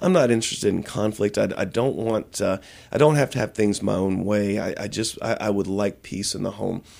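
At a fairly quick pace, a man speaks in a fairly low voice with ordinary pitch variation. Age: 40s. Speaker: pastor and author. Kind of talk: interview. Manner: halting.

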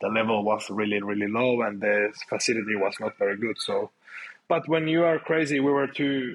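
A man with a Finnish accent speaks at medium pitch. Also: ordinary pitch variation, moderate pace. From Finland. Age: 30s. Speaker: grappling athlete. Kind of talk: casual interview chat.

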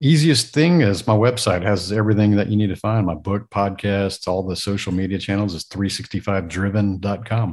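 Over a quiet background, a man with a plain, everyday voice speaks at a fairly quick pace in a fairly low pitch with ordinary pitch variation. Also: hardly any pauses. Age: 40s. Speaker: entrepreneur and podcaster. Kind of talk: casual interview.

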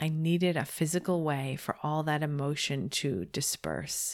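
The woman's voice is very deep and low in pitch, with ordinary pitch variation, at a moderate pace. The recording is very clean, with a silent background. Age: 40s. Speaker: podcast host. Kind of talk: monologue podcast episode.

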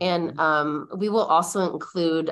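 A woman speaks in a normal speaking voice with fairly even intonation. Her pitch is fairly low. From Michigan, US (Mount Pleasant). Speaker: college readiness specialist. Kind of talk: interview.

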